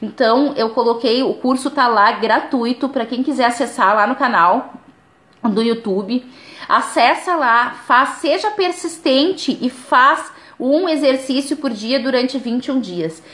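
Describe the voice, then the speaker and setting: The intonation here is lively. The pace, though, is fairly slow. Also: woman, high pitch for a woman. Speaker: spiritual life coach. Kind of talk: live stream talk.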